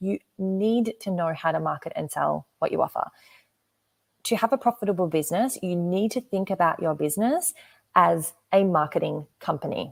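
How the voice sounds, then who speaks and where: An energetic woman with an Australian accent at medium pitch and moderate pace, with ordinary pitch variation and a dry, close sound with no echo. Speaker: business coach. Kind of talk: live webinar presentation.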